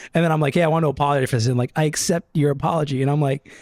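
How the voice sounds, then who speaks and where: Over noticeable background noise, a man with an American accent talks at a very fast pace in a fairly high pitch with ordinary pitch variation. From Brooklyn, New York. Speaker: film editor. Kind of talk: casual chat. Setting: living room.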